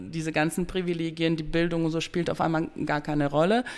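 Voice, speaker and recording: On a very clean recording with a silent background, a woman talks at a moderate pace and a fairly low pitch. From Bosnia, raised from youth in Dortmund. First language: Bosnian (speaking German). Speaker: educator, cultural centre worker. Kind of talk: interview conversation.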